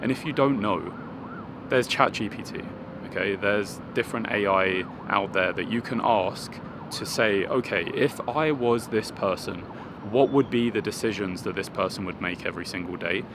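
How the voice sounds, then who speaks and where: Over noticeable background noise, a man talks at a moderate pace with a fairly low pitch. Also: ordinary pitch variation. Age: 20s. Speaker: fitness coach. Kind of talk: motivational talk.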